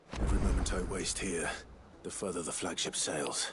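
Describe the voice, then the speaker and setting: A man uses a put-on character voice, very deep and low-pitched, raspy, at a moderate pace. Loud background noise sits behind him. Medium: video game. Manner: dry, wry.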